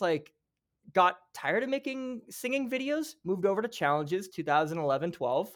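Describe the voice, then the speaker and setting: Here a man speaks with a Canadian Prairies accent. His pitch swings very widely. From Regina, Saskatchewan, Canada. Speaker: social media content creator. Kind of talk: casual interview chat.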